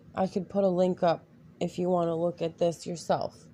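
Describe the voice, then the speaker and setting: A woman's voice with a dark, mellow tone. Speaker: video blogger. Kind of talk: reading aloud. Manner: halting.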